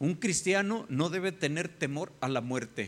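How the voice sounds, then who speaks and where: Using an ordinary speaking voice, a man talks at a fairly slow pace with lively intonation. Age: 50s. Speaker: pastor. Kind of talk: sermon.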